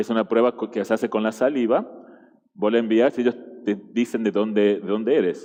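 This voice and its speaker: A man talks in an Argentine accent. His tone is dark and mellow. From Argentina. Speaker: guest preacher. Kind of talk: sermon. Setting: church. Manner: halting, with fillers and repetitions.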